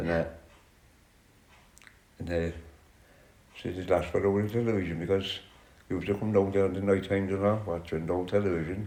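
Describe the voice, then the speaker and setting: A man with a Cork accent speaks at a very deep, low pitch in a monotone, flat intonation. His pace is fairly quick, broken by long, frequent pauses. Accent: Cork Irish. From County Cork, Ireland. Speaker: social housing resident. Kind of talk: interview answer.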